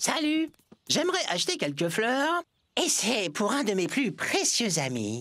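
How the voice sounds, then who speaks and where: A female-sounding put-on character voice, fairly high in pitch, fairly slow, with very wide swings in pitch. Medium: fan dub. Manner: friendly, insistent.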